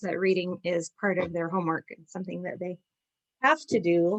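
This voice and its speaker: A woman talks at a moderate pace. Her sound is dry and close, with no echo. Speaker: children's book seller. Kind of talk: product showcase. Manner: animated.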